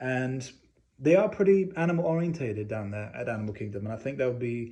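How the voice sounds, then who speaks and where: A man with a slight English accent, a dark, mellow tone, medium pitch, and a fairly quick pace. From England. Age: 20s. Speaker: communications student. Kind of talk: class presentation speech.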